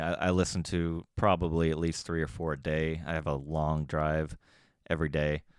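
A man with an American accent and a very deep, low pitch talks at a moderate pace in a very clean recording with a silent background. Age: 30s. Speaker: podcaster and blogger. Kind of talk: casual monologue. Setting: garage. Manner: rambling, halting with fillers.

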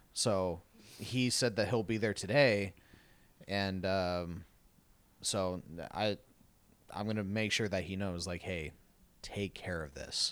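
Speaking with an American accent, a man uses a fairly low pitch at a very slow pace. Long pauses come often. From Arizona, Tucson. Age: 20s. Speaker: podcast co-host. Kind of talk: casual chat. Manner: animated.

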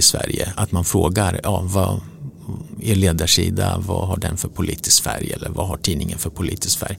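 Noticeable background noise sits under a man speaking at a moderate pace with a very deep, low pitch. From Sweden, Motala. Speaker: newspaper publisher. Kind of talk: interview. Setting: office.

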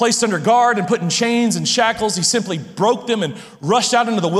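Pitch shifts in an ordinary way. The clip features a natural reading voice.

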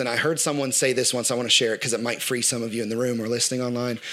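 A man speaks over noticeable background noise. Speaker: church worship director. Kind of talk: sermon. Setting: church.

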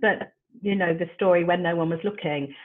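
At a moderate pace, a woman with a plain, everyday voice speaks at a fairly low pitch. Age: 60s. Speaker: life coach. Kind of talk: interview.

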